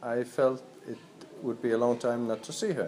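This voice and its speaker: A man speaks with a Danish accent. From Denmark. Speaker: volunteer. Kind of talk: documentary interview.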